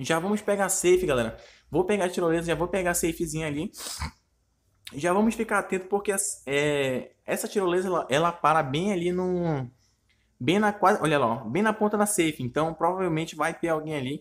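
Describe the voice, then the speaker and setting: Speaking at a fairly quick pace, a man with a high pitch shows ordinary pitch variation. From Brazil, Manaus (Amazonas). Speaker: gaming youtuber. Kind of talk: live gameplay commentary. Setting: recorded gameplay video. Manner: animated.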